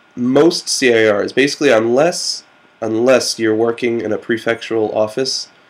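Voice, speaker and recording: A medium-pitched man at a fairly slow pace, with noticeable background noise. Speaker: JET program coordinator for international relations. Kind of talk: casual talk to camera. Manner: hesitant, many fillers.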